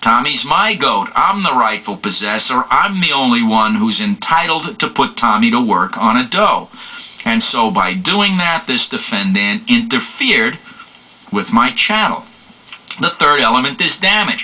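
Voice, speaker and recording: This man talks at a medium pitch with very wide pitch swings and a fairly slow pace. Noticeable background noise runs behind him. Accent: New York. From New York City. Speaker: law lecturer. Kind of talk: lecture.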